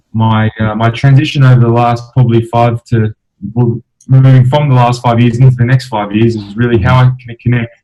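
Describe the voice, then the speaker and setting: Speaking with an Australian accent, a man has a dark, mellow, somewhat breathy voice at medium pitch with fairly even intonation. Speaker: professional footballer and entrepreneur. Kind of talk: interview. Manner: hesitant, many fillers.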